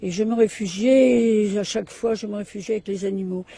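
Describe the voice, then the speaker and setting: Noticeable background noise sits behind this recording. A woman talks at a fairly high pitch and a moderate pace. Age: 70s. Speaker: animal sanctuary founder, magnetic healer. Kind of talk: interview.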